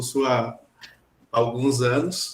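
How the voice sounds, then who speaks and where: A man talks in an ordinary speaking voice at medium pitch. His intonation stays fairly even. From São Borja, Rio Grande do Sul, Brazil. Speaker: graduate student. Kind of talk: audience question in online seminar.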